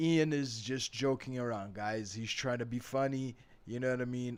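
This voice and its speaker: A medium-pitched man with an American accent at a moderate pace, fairly even intonation and a very clean recording with a silent background. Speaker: English teacher. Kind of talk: tutorial. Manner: casual, conversational.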